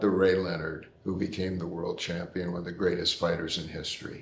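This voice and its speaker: A man's voice comes with audible room echo. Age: 80s+. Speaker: boxing veteran. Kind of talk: interview. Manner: halting.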